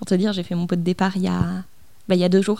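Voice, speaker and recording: A woman at medium pitch speaks at a fairly quick pace in a very clean recording with a silent background. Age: 20s. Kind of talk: casual interview. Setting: at her home, mid-move.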